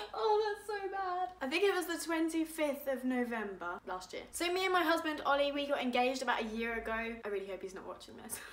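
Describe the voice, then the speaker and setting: The speaker has an English accent and a fairly quick pace with hardly any pauses. Pitch swings very widely and loudness shifts a lot. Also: woman, high pitch for a woman. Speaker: vlogger. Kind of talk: casual chat. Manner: animated.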